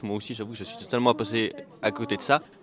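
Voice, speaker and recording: Over noticeable background noise, a man at a medium pitch is heard in a dry, close sound with no echo. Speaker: podcast host. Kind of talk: interview. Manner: soft, calm podcast voice.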